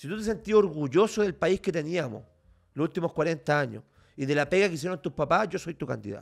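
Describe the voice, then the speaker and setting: Over a quiet background, a man with vocal fry talks at a fairly quick pace with lively intonation. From Chile, Valparaíso region. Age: 30s. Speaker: lawyer and political candidate; lawyer, candidate. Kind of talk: interview. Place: home room. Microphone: studio mic.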